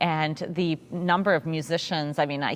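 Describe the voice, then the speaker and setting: A woman talks with a very deep, low pitch. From Russia (St Petersburg), moved to US as a child. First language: Russian. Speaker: orchestra conductor. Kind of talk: panel interview. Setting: virtual pre-concert talk.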